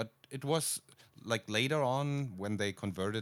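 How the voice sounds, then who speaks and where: Speaking at a fairly slow pace, a man has a German accent and ordinary pitch variation. The recording is very clean, with a silent background. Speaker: podcast co-host, video producer. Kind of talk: casual chat. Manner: halting, many fillers.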